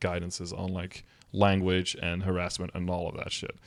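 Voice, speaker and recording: A man with a Dutch accent speaks at a moderate pace in a very deep, low voice. His intonation is monotone and flat, captured on a very clean recording with a silent background. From Netherlands or Flanders (Dutch-speaking). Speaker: streamer. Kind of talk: casual commentary reacting to a document. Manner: casual, conversational.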